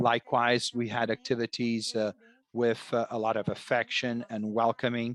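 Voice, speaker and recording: A man with an ordinary speaking voice and a medium pitch talks at a moderate pace, the sound dry and close with no echo. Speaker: interpreter for a librarian panelist. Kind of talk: webinar presentation.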